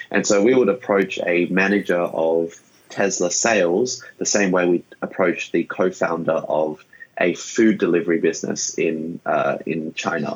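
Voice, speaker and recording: A man's very deep, low voice with an Australian accent and fairly even intonation. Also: fairly slow pace. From Sydney, Australia. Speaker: startup founder. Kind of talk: interview.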